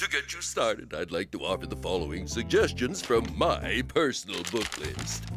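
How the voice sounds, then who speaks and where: A man performs a cartoonish character voice. Clear music plays in the background. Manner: pompous.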